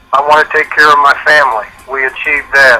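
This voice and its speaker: A man talks at a moderate pace in a fairly high pitch. There is noticeable background noise behind him. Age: 60s. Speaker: business opportunity distributor. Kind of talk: testimonial on a conference call.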